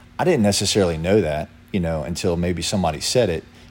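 With an American accent and a very deep, low pitch, a man talks at a fairly quick pace with fairly even intonation amid audible room echo. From Lynchburg, Virginia. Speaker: former pro baseball pitcher. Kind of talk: casual interview.

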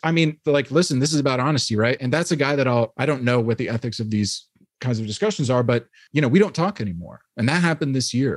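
Speaking very fast with lively intonation, a man uses an American accent at medium pitch. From New York (Hyde Park, Dutchess County). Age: 30s. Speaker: former theologian and writer. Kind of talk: casual interview.

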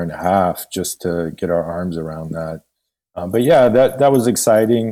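With a Californian accent, a man speaks in a very deep, low pitch with a dark, mellow tone. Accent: General American (California). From US West Coast, San Francisco Bay Area. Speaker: bank executive. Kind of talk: interview. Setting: at home, remote call.

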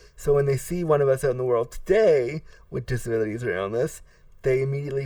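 On a very clean recording with a silent background, a man of medium pitch speaks at a moderate pace in a somewhat breathy voice. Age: 30s. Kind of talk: interview.

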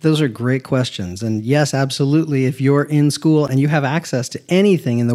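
A man with an American accent speaks in a normal speaking voice at a fairly quick pace with ordinary pitch variation. The recording is very clean, with a silent background. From Southern California. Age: 50s. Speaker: architect. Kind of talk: interview, casual conversation. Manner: humorous, conversational.

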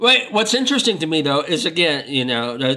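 A man's voice comes through alongside noticeable background noise. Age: 50s. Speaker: film critic. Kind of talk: casual film discussion.

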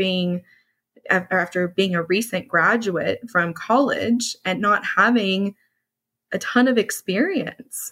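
A woman of medium pitch with an American accent speaks with fairly even intonation in a very clean recording with a silent background. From US, Dallas, Texas. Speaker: HR consultant and business owner. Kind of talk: interview.

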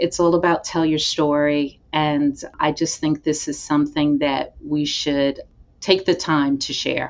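At a fairly slow pace, a woman speaks in a flat monotone with a very deep, low pitch. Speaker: HR manager, breast cancer survivor. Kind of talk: personal testimony.

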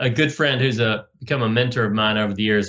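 A man with an American accent speaks in a plain, everyday voice, fairly low in pitch, with fairly even intonation. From US South. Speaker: podcast host. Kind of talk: interview.

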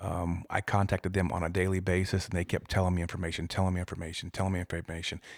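On a very clean recording with a silent background and a dry, close sound with no echo, a man with an American accent talks very fast at a very deep, low pitch. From Iowa. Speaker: police detective, former football player. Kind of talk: interview storytelling. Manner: hesitant, many um fillers.

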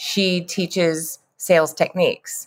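Here a woman speaks at a medium pitch with a Texan accent. The sound is dry and close, with no echo. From West Texas, near Lubbock. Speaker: sales trainer. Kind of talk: interview.

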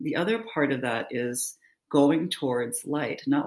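A woman with a very deep, low pitch speaks with lively intonation. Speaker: nurse and therapist. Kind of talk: casual interview conversation.

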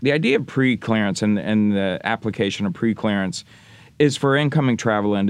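A man talks in a plain, everyday voice with an American accent and ordinary pitch variation. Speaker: lobbyist for travel association. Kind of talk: interview conversation. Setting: recording studio.

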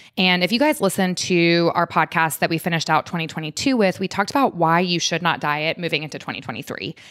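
Speaking very fast with hardly any pauses, a woman has a fairly low pitch, in a dry, close sound with no echo on a very clean recording with a silent background. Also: ordinary pitch variation. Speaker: podcast host, functional medicine doctor. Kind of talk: casual interview chat, podcast. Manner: fast talker.

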